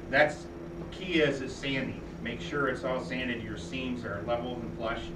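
Loud background noise sits behind a man speaking. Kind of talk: informal talk to a small group. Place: home room. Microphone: camera far.

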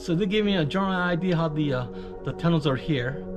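Clear music sounds in the background. Over it, a man talks at a fairly quick pace. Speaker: travel vlogger. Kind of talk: casual vlog commentary. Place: tunnel cave. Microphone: phone near.

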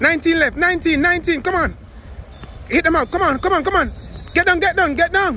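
A man uses a raised, projected voice at a very fast pace with ordinary pitch variation, over light background noise. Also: dry sound with no echo. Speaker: workout coach. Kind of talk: motivational coaching and counting reps. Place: street.

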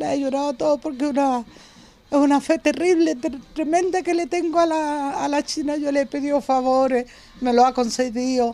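A woman speaks with a high pitch. Her pace is moderate, with ordinary pitch variation. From northern Chile. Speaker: devout local resident. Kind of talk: interview. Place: garden.

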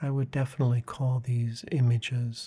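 A soft-spoken man's calm, somewhat breathy voice, dark and mellow in tone, monotone and flat in intonation, at a fairly slow pace. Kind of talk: guided meditation talk about inner imagery. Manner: soft-spoken, calm.

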